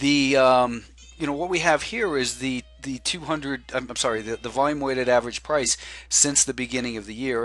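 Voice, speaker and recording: A man with an unremarkable speaking voice, fairly quick pace and ordinary pitch variation. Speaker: stock market analyst. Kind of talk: market analysis video commentary. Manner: many fillers and repetitions.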